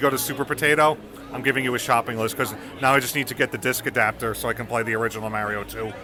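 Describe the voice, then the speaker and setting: A man talks at a very fast pace in an American accent. There is noticeable background noise. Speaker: podcast host. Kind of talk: casual chat. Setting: busy expo floor.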